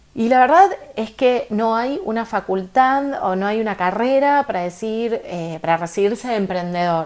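An ordinary speaking voice with lively intonation, delivered at a moderate pace. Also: woman, fairly high pitch for a woman. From Argentina. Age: 30s. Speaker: podcast host, entrepreneur coach. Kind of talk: casual monologue with advice.

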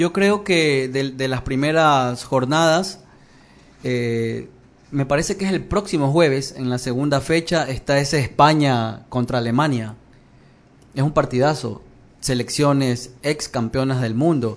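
The speaker is a man with a normal speaking voice, pitched fairly high for a man. He talks at a fairly slow pace with ordinary pitch variation. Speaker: sports journalist. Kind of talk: casual chat.

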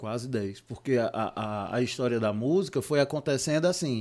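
At a moderate pace, a man with an unremarkable speaking voice talks at a medium pitch with ordinary pitch variation, in a very clean recording with a silent background. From Ceará, Brazil (Juazeiro do Norte, Cariri). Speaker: theatre producer. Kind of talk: casual interview.

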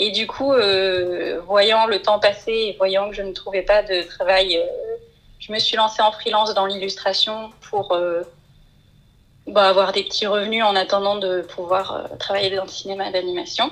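A woman of medium pitch speaks fairly slowly with fairly even intonation over noticeable background noise. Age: 20s. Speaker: illustrator and storyboard artist. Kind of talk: interview.

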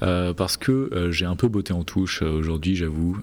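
Noticeable background noise sits behind a man with a very deep, low pitch speaking at a moderate pace. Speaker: podcast host. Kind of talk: casual chat. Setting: huge room, under a duvet.

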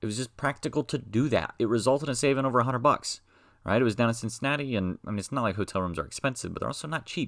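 A man's medium-pitched voice at a very fast pace, with ordinary pitch variation. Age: 20s. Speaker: educational podcaster. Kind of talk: casual monologue.

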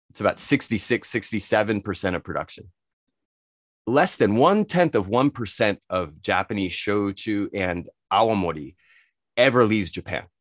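A man with an American accent and a fairly low pitch, an unremarkable speaking voice at a moderate pace, lively intonation, big swings in loudness, and a dry, close sound with no echo on a very clean recording with a silent background. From United States. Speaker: spirits expert and entrepreneur. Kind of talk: casual interview.

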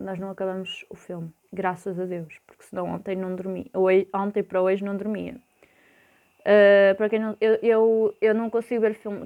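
A woman with a dark, mellow tone speaks at a medium pitch and a moderate pace. Her intonation is monotone and flat, while her loudness swings widely. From Portugal, Porto. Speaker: podcaster. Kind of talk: casual monologue. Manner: hesitant, many fillers.

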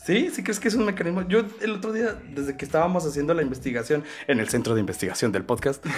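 Over background music, a man with a Mexican accent and a fairly high pitch talks at a very fast pace in an animated tone, with very wide pitch swings. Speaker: podcast host. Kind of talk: casual chat.

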